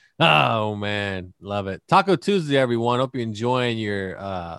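In a very clean recording with a silent background, a man with a medium-pitched voice speaks at a moderate pace in an animated tone. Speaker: podcast host. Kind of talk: casual comedic banter. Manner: joking, animated.

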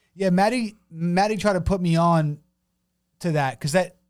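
Against music in the background, a man speaks in an animated tone at a moderate pace. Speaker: podcast host. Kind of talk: casual chat.

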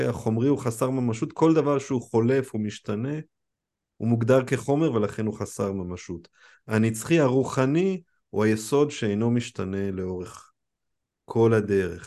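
A man with a dark, mellow tone speaks at a moderate pace in a medium pitch. His pitch variation is ordinary, and the background is quiet. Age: 40s. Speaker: study group teacher. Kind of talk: lecture. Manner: halting.

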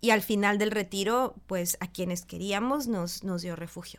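In an unremarkable speaking voice, a woman talks at a fairly slow pace with medium pitch and ordinary pitch variation, on a very clean recording with a silent background. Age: 40s. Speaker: meditation teacher. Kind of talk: casual chat.

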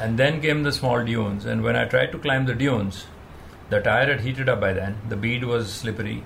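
Over noticeable background noise and audible room echo, a man speaks at a moderate pace with a medium pitch and ordinary pitch variation. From India (Himachal Pradesh). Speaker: rally race director. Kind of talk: interview.

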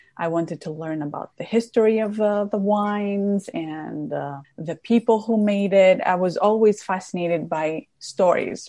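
A woman speaks with a Greek accent at a medium pitch. Her tone is dark and mellow, and the background is quiet. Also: ordinary pitch variation, moderate pace, hardly any pauses. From Greece, Crete. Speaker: documentary filmmaker and wine content creator. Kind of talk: interview.

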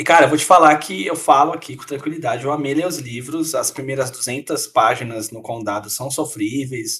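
A man talks at a moderate pace in a normal speaking voice. His intonation is lively, with big swings in loudness. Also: hardly any pauses. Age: 20s. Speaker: podcast co-host. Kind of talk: casual chat.

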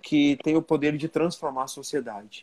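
A man talks at a fairly quick pace in a plain, everyday voice, pitched fairly high. The sound is dry and close, with no echo. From Santa Catarina, Brazil (western region). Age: 30s. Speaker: business association president and entrepreneur. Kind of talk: interview conversation.

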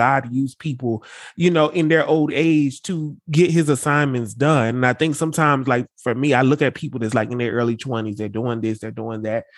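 Against a quiet background, a man speaks at a fairly quick pace. His fairly high voice shows ordinary pitch variation. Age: 30s. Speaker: podcast co-host. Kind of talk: casual chat.

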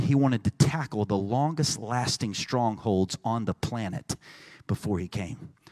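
In a Texan accent, a man talks at a moderate pace in an animated tone with lively intonation, recorded dry and close with no echo on a very clean track with a silent background. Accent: Texan American English. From Texas. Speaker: pastor. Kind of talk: sermon. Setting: church.

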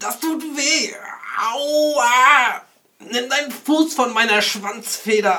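A put-on character voice at a fairly high pitch speaks at a very slow pace. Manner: hurt, complaining.

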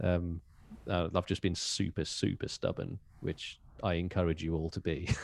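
On a very clean recording with a silent background, a man with a Birmingham accent speaks in a very deep, low pitch with monotone, flat intonation. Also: moderate pace. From Birmingham, England. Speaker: metal band drummer. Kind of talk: casual interview.

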